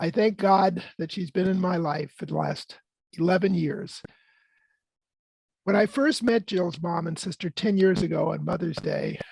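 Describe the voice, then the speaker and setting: At a moderate pace, a man with a high pitch and ordinary pitch variation talks with long, frequent pauses. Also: very clean recording, silent background. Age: 70s. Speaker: peace and housing activist. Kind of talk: prepared talk. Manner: partly read from script.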